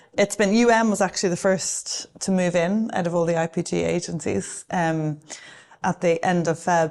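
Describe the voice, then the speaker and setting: Against a quiet background, a speaker with an Irish accent talks at a moderate pace with fairly even intonation. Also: woman, fairly low pitch for a woman. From Ireland. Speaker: advertising agency executive. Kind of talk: interview. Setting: office with a view.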